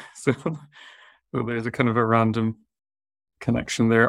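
In a southwest Irish accent, a man speaks with a medium pitch. His pace is moderate. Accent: Irish, southwest Irish lilt. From southwest Ireland. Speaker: vet and talent manager. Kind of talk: casual interview chat. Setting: video call webinar.

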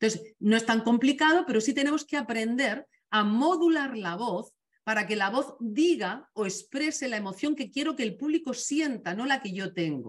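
A somewhat breathy woman with a Castilian accent speaks at a moderate pace, her fairly high voice carrying lively intonation. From Spain. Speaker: communication trainer. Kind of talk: webinar talk.

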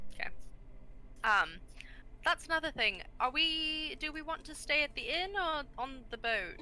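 A woman projects a raised, high-pitched voice with lively intonation. She moves at a fairly slow pace, with long, frequent pauses. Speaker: player. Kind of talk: tabletop roleplaying game, casual in-character chat.

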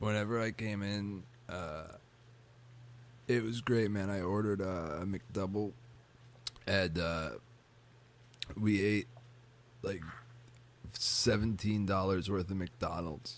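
In a nasal, put-on character voice, a man speaks at a fairly low pitch and very slow pace, with ordinary pitch variation and long, frequent pauses.

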